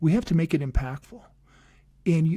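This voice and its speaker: A man's dark, mellow voice with a fairly high pitch and an American accent, on a very clean recording with a silent background. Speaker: podcast host and coach. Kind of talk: casual podcast outro. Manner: fast.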